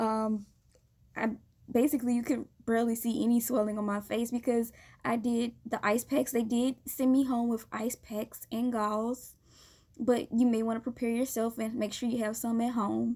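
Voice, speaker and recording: At a moderate pace, a woman with a fairly high pitch and a dark, mellow tone speaks in a monotone, flat intonation. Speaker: vlogger. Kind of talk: personal experience vlog. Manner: halting, many fillers.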